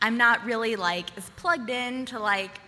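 Animated delivery from a woman, fairly high in pitch, with ordinary pitch variation. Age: 20s. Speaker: storyteller. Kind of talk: stand-up. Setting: stage with audience.

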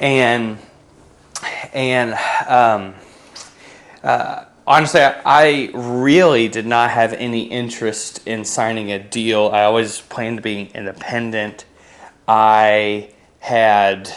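A man with an American accent, very slow and fairly even in intonation, with long, frequent pauses. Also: medium pitch for a man. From western Pennsylvania, near Pittsburgh. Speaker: musician. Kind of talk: interview.

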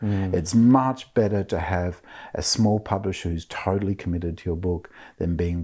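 A man's very deep, low voice, somewhat breathy and dark, mellow in tone, at a moderate pace with ordinary pitch variation. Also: very clean recording, silent background. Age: 50s. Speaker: author and professor. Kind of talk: interview conversation.

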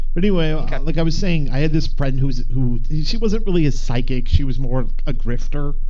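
Very fast, playful speech with very even loudness and ordinary pitch variation over noticeable background noise. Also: man, fairly high pitch for a man. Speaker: podcast co-host. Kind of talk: casual comedic banter, joking ghost story retelling. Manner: playful, jokey, rambling with riffs and quips.

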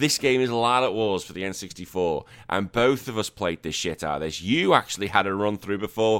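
Someone with a Liverpool accent speaks at a fairly quick pace with ordinary pitch variation, in a very clean recording with a silent background. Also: man. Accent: Liverpool (Scouse) English. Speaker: podcast host. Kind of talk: casual chat.

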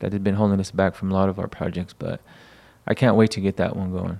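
Talking at a very fast pace, a man with a fairly low pitch has a dark, mellow tone. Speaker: podcast host. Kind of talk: casual banter. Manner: animated, profane.

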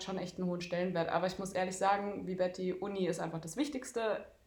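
Her medium-pitched voice moves at a very fast pace as a woman speaks amid audible room echo. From Darmstadt, Hesse, Germany. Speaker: handball goalkeeper and student. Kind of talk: casual interview.

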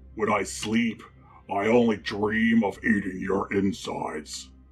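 A man puts on a raspy character voice at a medium pitch, speaking at a fairly slow pace. Clear music plays in the background. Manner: creepy, menacing.

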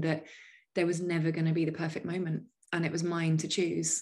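Fairly low-pitched woman with a British accent at a very fast pace. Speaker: life coach. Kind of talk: casual interview chat. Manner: animated, laughs often.

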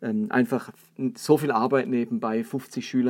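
A man talks in an ordinary speaking voice. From Baden, southern Germany (Karlsruhe). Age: 40s. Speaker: pastor and podcast host. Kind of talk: solo podcast talk, sermon-like teaching.

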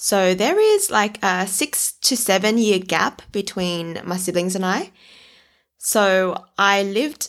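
A woman with an Australian accent, medium pitch and ordinary pitch variation, on a very clean recording with a silent background. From southwestern Sydney, Australia. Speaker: podcast host, former primary school teacher. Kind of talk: casual personal storytelling monologue. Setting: at home.

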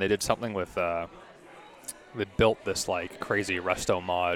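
With a Canadian accent, a man speaks at a moderate pace in a very deep, low pitch while music plays in the background. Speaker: race car driver. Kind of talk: casual chat. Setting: restaurant dinner.

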